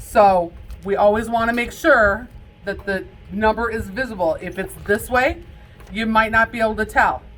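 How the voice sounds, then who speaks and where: A woman talks at a moderate pace with a fairly high pitch and ordinary pitch variation over music in the background. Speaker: casino dealer instructor. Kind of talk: lecture.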